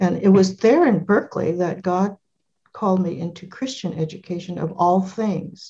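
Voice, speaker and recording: A woman with an American accent speaks at medium pitch and a moderate pace, her somewhat breathy, dark, mellow tone keeping fairly even intonation. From California. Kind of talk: interview.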